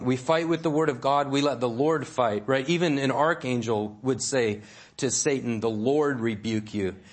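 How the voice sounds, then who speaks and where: A man speaks at a moderate pace and a medium pitch, with ordinary pitch variation and audible room echo. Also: very even loudness. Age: 40s. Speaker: pastor. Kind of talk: sermon.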